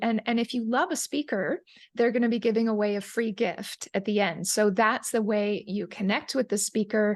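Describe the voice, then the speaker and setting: Against a quiet background, a woman with a fairly high pitch speaks at a moderate pace with ordinary pitch variation. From Canada, Calgary, Alberta. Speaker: Ayurvedic chef and digestive health coach. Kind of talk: interview.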